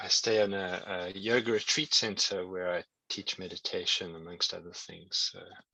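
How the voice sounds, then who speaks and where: In a South African accent, a man speaks at a moderate pace in a bright, sharp tone, his intonation monotone and flat but with big swings in loudness. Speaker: tantra and meditation teacher. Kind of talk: online workshop teaching. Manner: halting, repeats words.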